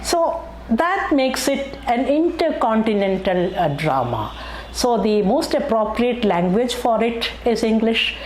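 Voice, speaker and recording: A woman with a Keralan accent and a fairly high voice speaks at a fairly slow pace with very wide pitch swings, amid audible room echo and noticeable background noise. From Kerala, India. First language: Malayalam. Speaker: YouTube history narrator. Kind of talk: educational narration. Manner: hesitant with many fillers.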